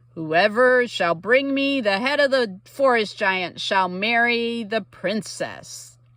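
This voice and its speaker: The recording is very clean, with a silent background. A woman uses a put-on character voice at a fairly high pitch and a fairly slow pace. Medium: read story. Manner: worried.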